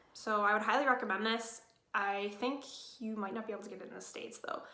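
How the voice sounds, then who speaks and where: A woman speaks very fast in a fairly high, bright and sharp voice with ordinary pitch variation, and room echo is audible. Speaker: beauty vlogger. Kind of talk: casual product review. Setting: at home.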